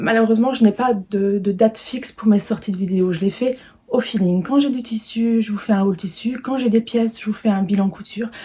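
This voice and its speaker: Against noticeable background noise, a woman with a fairly high pitch talks at a fairly quick pace, her intonation fairly even. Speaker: sewing vlogger. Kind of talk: casual video presentation, fabric haul. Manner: hesitant, many fillers (euh) and repetitions.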